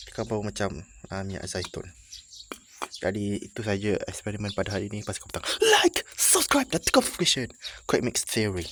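Soft-spoken and fairly low in pitch, a man talks at a fairly quick pace with a bright, sharp tone, fairly even intonation and big swings in loudness. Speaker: YouTuber. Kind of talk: casual vlog. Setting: in a building, away from home. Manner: quiet, speaking softly.

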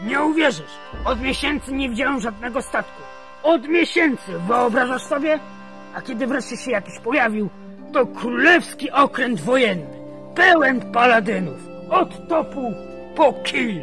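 A put-on character voice with fairly high pitch goes at a moderate pace over clear music in the background. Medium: machinima. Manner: brusque, commanding.

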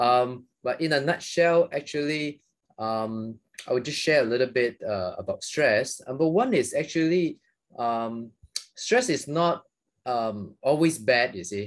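Fairly slow with lively intonation, a man speaks in a Malaysian accent at a fairly high pitch. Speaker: psychiatrist. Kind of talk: interview. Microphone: video call.

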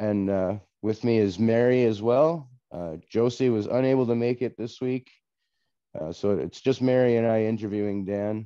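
With a dark, mellow tone, a man speaks at a moderate pace and ordinary pitch variation against a quiet background. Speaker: podcast host and story narrator. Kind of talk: casual interview chat. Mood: friendly, slightly apologetic. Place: home room. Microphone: video call.

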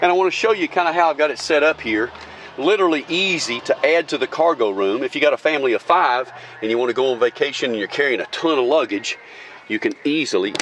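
A man talks at a very fast pace. The sound is dry with no echo, with light background noise. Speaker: car salesperson. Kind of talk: sales walkaround commentary. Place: street. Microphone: phone near.

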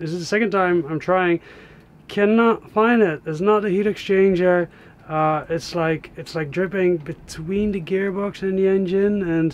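A high-pitched man at a moderate pace with fairly even intonation. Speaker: solo sailor vlogger. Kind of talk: casual vlog chat. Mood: puzzled, mildly frustrated. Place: boat. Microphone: phone near.

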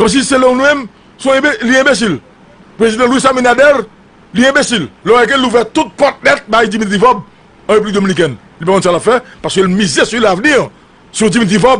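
Very fast speech from a man at an extremely high pitch, with very even loudness and ordinary pitch variation. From Haiti. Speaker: political commentator. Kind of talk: political commentary monologue. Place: studio. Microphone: studio mic.

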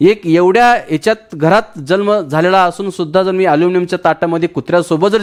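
A man talks high in his range, the sound dry and close with no echo. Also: very clean recording, silent background. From Maharashtra, Marathwada (Latur district). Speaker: direct selling entrepreneur. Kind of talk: testimony.

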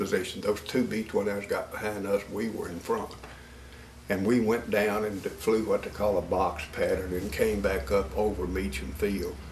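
A man with a fairly low pitch and ordinary pitch variation speaks over noticeable background noise. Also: moderate pace. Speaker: war veteran. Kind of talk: interview answer.

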